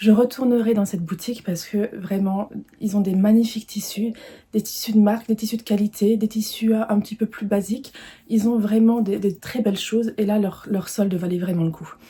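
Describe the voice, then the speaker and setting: Somewhat breathy and fairly high-pitched, a woman speaks in a monotone, flat intonation with a dark, mellow tone. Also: moderate pace. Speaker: sewing vlogger. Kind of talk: casual video presentation, fabric haul. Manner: hesitant, many fillers (euh) and repetitions.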